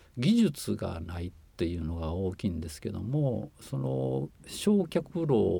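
With a very deep, low pitch and a dark, mellow tone, a man speaks somewhat breathily while his pitch swings very widely. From Shiga, Japan. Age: 60s. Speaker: former overseas volunteer, environmental consultant. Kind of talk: interview. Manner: halting, many fillers.

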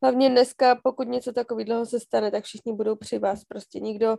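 A woman's fairly quick speech in a dark, mellow tone, with a dry, close sound and no echo. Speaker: podcast co-host. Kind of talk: casual chat.

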